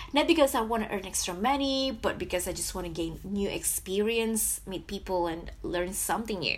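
A woman at a moderate pace, with hardly any pauses and noticeable background noise. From Indonesia, Jakarta. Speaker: podcast host. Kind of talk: solo podcast monologue.

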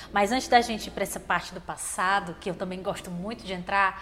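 Her delivery is very rapid. The woman sounds animated throughout. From Fortaleza, Ceará, Brazil. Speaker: podcast host. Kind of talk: interview. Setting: studio.

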